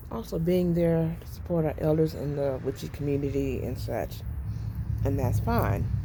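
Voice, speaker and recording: A woman speaks at a moderate pace. Room echo can be heard. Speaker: witchcraft vlogger. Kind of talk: casual vlog monologue. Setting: outdoors on porch. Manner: halting.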